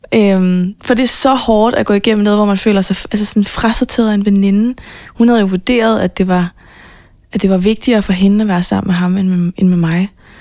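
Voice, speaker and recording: A woman speaks fairly quickly in a dark, mellow tone, with very even loudness and fairly even intonation. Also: medium pitch for a woman. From Copenhagen, Denmark. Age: 20s. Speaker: pop singer-songwriter. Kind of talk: interview.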